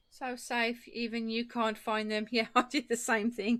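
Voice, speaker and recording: Fairly high in pitch, a woman speaks with an English accent at a fairly slow pace. The recording is very clean, with a silent background. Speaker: craft live streamer. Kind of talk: casual chat with live chat viewers. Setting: live stream.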